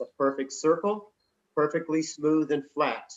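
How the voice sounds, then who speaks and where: The voice belongs to a man. He speaks with an American accent. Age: 60s. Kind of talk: interview; storytelling. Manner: halting.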